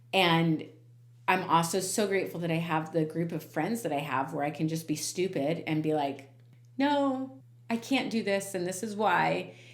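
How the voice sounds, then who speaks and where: Audible room echo surrounds a woman with a fairly low pitch, who talks at a moderate pace with lively intonation. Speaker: podcast host. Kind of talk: casual chat. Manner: loud; animated.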